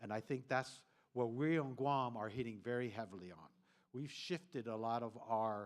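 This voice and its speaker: Medium pitch, ordinary pitch variation and a moderate pace from a man with an ordinary speaking voice. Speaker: government official presenting at a regional forum. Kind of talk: conference presentation.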